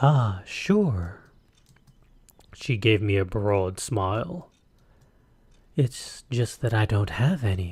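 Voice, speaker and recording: Putting on a sing-song character voice at a fairly low pitch, a man speaks at a very slow pace with long, frequent pauses. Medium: solo performance. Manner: sing-song, teasing.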